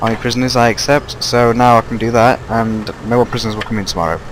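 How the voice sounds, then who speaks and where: Talking very fast at a medium pitch, a man is heard over noticeable background noise. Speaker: gaming YouTuber. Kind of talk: gameplay commentary. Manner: halting, stuttering.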